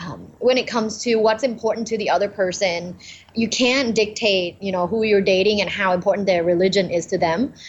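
A woman speaks with a Thai accent. Her pace is fairly quick. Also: medium pitch for a woman, fairly even intonation. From Thailand. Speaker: communication professor. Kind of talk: podcast interview.

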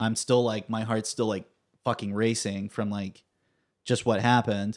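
A man with an American accent, monotone and flat, at a fairly slow pace. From California, Fresno. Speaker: comedy performer and writer. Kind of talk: casual chat.

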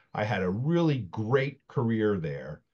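Someone with an American accent speaks over a quiet background. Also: man. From South Jersey, Camden area. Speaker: technology consultant. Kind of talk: casual chat.

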